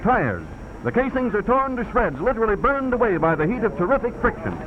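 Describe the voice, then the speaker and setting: Over noticeable background noise, a man talks at a very fast pace with an extremely high pitch. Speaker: newsreel narrator. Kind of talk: newsreel narration.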